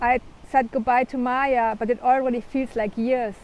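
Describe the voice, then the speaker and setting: A woman's high voice at a moderate pace. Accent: German. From Germany. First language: German. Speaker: author. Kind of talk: reading aloud.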